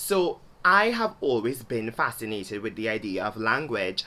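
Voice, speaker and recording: In a Trinidadian accent, a woman speaks with lively intonation and a bright, sharp tone at a very deep, low pitch. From Trinidad and Tobago. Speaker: video blogger. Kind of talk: video essay monologue.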